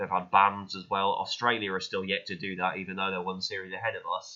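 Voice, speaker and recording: The speaker is a man with a British accent. His pitch is very deep and low. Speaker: YouTube reaction creator. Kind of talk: casual reaction commentary. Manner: dull-sounding; halting, many fillers.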